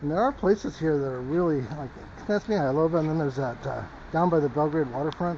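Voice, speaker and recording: Over noticeable background noise, a man with an American accent and a fairly high pitch talks at a moderate pace. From US West Coast, Los Angeles. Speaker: vlogger. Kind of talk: casual walking vlog. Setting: outdoors, walking in snow. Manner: soft-spoken.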